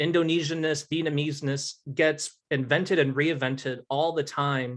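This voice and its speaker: Fairly slow and fairly high-pitched, this man has an ordinary speaking voice. He keeps a fairly slow pace throughout. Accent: American. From Utah, Salt Lake City. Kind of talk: Q&A after a lecture.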